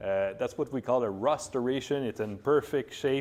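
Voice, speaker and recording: A man's medium-pitched voice with ordinary pitch variation and a French-Canadian accent. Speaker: vintage scooter shop owner. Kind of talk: product presentation to camera. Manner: casual, hesitant.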